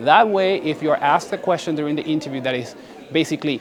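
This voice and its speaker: Against noticeable background noise, a man with a fairly high pitch talks at a very fast pace with ordinary pitch variation. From Paraguay. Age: 20s. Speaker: graduate student. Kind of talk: interview tips.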